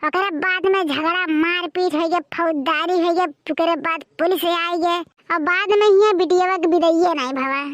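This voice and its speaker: A woman puts on a cartoonish character voice at an extremely high pitch, speaking at a moderate pace. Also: fairly even intonation. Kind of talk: cartoon comedy. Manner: loud, rambling, boastful.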